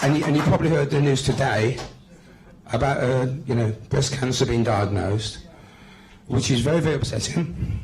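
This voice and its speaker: Over noticeable background noise and audible room echo, a man with a medium pitch speaks with long, frequent pauses. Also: ordinary pitch variation, moderate pace, very even loudness. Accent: West Midlands. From West Midlands, England. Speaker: political activist. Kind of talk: speech at a public meeting. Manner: hesitant, many fillers and repetitions.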